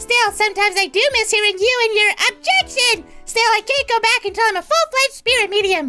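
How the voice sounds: An extremely high-pitched put-on character voice moves at a fairly quick pace with hardly any pauses. Faint music plays in the background.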